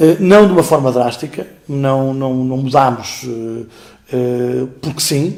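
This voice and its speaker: There is noticeable background noise behind this voice. A man talks at a very slow pace. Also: medium pitch for a man, ordinary pitch variation. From Portugal, Beira Alta. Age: 50s. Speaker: school director and teacher. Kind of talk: interview. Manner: hesitant, many fillers.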